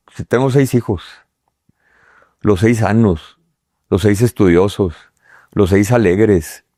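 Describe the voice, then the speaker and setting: In a very clean recording with a silent background, a man speaks at a fairly low pitch with a dark, mellow tone and ordinary pitch variation. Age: 60s. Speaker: businessman. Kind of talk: interview conversation. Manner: halting, many fillers.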